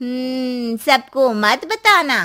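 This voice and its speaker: A woman puts on a cartoonish character voice at a high pitch. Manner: knowing, cautioning.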